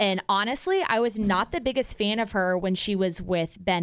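On a very clean recording with a silent background, a woman speaks at medium pitch with an American accent. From Kansas City, US Midwest. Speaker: radio host. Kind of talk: casual chat.

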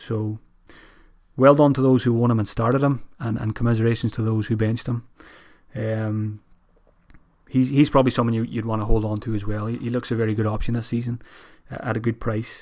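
Speaking with an Irish accent, a man uses a medium pitch and monotone, flat intonation at a fairly quick pace, broken by long, frequent pauses. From Ireland. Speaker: fantasy football podcaster. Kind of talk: solo monologue analysis. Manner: casual, many fillers.

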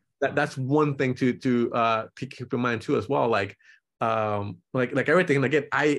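With a quiet background, a man speaks in a Spanish accent. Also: medium pitch for a man, ordinary pitch variation, moderate pace, very even loudness. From Nicaragua, raised in San Francisco Bay Area. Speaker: portrait photographer. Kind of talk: casual interview.

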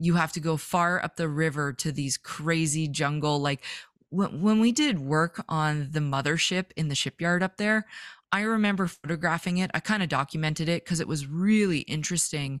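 A woman with a Western Canadian accent and a very deep, low pitch, on a dry, close recording with no echo that is very clean with a silent background. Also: ordinary pitch variation, moderate pace. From Vancouver, British Columbia, Canada. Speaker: fishing photographer. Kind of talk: casual interview.

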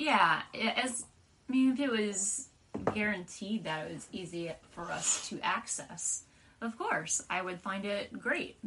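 Noticeable background noise fills the recording. Through it, a woman speaks fairly slowly. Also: medium pitch for a woman, lively intonation. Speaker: comic book podcast co-host. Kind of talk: casual chat.

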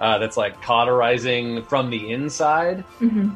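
The intonation rises and falls with liveliness. The voice reads aloud in a natural manner.

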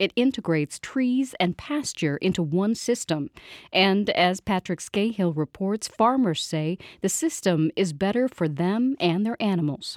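A woman with a plain, everyday voice speaks at a fairly slow pace and a medium pitch, her intonation lively and the sound dry and close with no echo. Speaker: local radio news host. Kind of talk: news reading. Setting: studio. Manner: formal.

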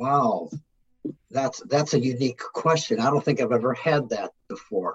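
A man with a fairly high, somewhat breathy voice speaks at a moderate pace with lively intonation and very even loudness. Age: 60s. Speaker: business executive and author. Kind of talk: interview.

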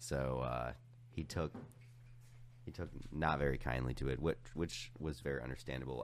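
A man speaks with vocal fry. His pace is moderate. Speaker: podcast guest. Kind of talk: casual chat.

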